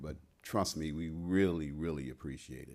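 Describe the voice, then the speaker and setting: A man with an American accent talks in a fairly even intonation on a very clean recording with a silent background. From Ohio, US Midwest. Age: old. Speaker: school director, lecturer. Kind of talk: lecture Q&A.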